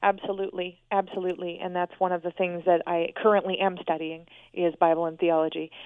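This woman's voice sits fairly low, and she talks at a fairly quick pace with monotone, flat intonation. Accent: American. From US Northwest, Portland, Oregon. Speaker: author and researcher. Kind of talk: interview.

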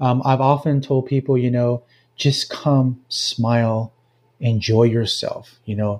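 The man's voice has a medium pitch, ordinary pitch variation and a dark, mellow tone that is somewhat breathy. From central Mexico (Jalisco). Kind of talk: interview. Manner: halting, many fillers.

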